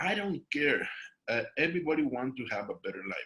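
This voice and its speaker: With a Mexican accent, a man talks at a moderate pace in a fairly high pitch, his tone bright and sharp with vocal fry. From Mexico. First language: Spanish. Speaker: network marketing distributor. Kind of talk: panel discussion at business event.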